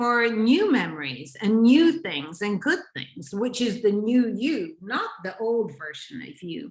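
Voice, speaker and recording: In a normal speaking voice, a woman talks at a fairly slow pace. Her intonation is lively. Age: 60s. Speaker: relationship and intimacy coach. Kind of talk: interview conversation.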